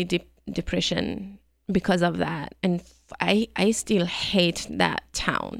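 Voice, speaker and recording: This woman talks at a fairly slow pace in a Persian accent, her pitch medium. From Iran. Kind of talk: casual interview. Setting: studio.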